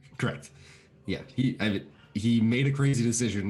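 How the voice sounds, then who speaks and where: A somewhat breathy man's voice at a very fast pace. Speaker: Twitch streamer and show co-host. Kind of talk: casual chat.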